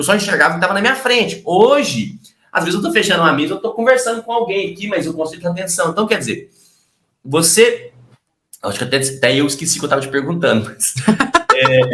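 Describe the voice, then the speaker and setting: A man's high-pitched voice, bright and sharp in tone, at a very fast pace with very wide pitch swings and long, frequent pauses. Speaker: sales trainer and YouTuber. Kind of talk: casual interview chat.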